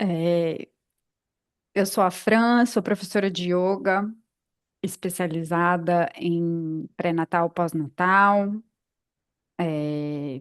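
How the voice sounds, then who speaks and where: Against a quiet background, a woman with a fairly low pitch speaks at a very slow pace with fairly even intonation and long, frequent pauses. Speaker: yoga teacher and podcast co-host. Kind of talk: casual podcast chat. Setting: podcast recording.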